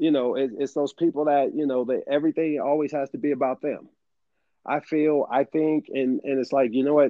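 Having an unremarkable speaking voice, a man talks at a moderate pace and a fairly high pitch. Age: 40s. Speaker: podcast co-host. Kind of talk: casual chat.

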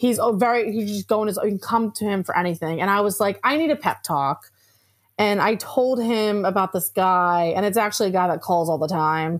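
Speaking at a fairly quick pace, a woman with an American accent uses a medium pitch and ordinary pitch variation. Her tone is animated. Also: very clean recording, silent background. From New Jersey, Atlantic City area. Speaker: newspaper reporter. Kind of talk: interview.

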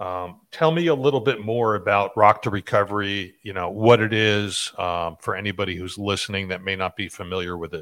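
A plain, everyday voice from a man at a fairly low pitch, fairly quick with hardly any pauses and ordinary pitch variation, in a very clean recording with a silent background. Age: 40s. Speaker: podcast host. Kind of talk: interview.

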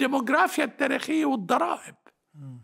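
A man's extremely high pitch with lively intonation at a moderate pace. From Lebanon, Batroun area. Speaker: historian. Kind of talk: interview. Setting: mountain village home.

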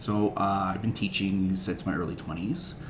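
Behind noticeable background noise, a man with a very deep, low pitch speaks in a monotone, flat intonation. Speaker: substitute teacher. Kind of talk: casual chat.

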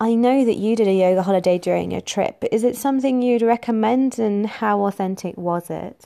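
On a very clean recording with a silent background, a woman with an East Midlands accent speaks at a fairly quick pace with hardly any pauses, a fairly high pitch, fairly even intonation and a dark, mellow tone. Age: 20s. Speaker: podcast host. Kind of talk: scripted intro; interview.

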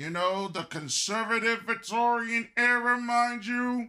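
A man talks in a raised, projected voice with a bright, sharp tone. His intonation is lively. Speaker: podcast host. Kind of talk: angry rant, scolding monologue; podcast monologue with news commentary. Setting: studio podcast. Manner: loud, fiery, confrontational, lecturing the audience.

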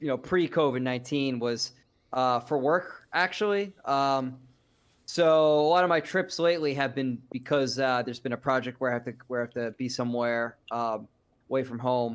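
A man speaks at a medium pitch and a moderate pace, with ordinary pitch variation. He has an unremarkable speaking voice, and the recording is very clean with a silent background. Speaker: podcast host guest. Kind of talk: casual chat.

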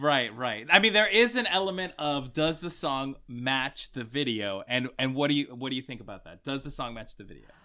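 Over a very clean recording with a silent background, a man speaks at a moderate pace, his fairly high pitch carrying lively intonation. His tone is animated, bright and sharp. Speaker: podcast host. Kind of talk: casual chat.

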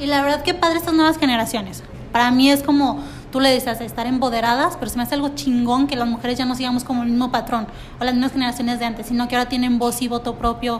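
With music in the background, a woman talks at a very fast pace, her high pitch carrying fairly even intonation. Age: 30s. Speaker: podcast co-host. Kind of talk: casual chat. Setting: café.

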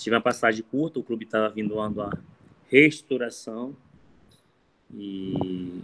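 Fairly even intonation from a man with a fairly low voice. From Brazil, Maranhão (raised in Imperatriz). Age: 30s. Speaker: football coach. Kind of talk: interview. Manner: halting, repeats words.

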